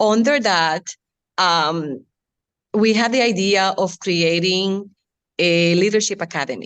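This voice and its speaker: A woman at a medium pitch, at a fairly slow pace with long, frequent pauses, over a quiet background. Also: ordinary pitch variation. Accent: strong Latin American Spanish. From Latin America. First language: Spanish. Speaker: city community outreach staff. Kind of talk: panel discussion. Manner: halting.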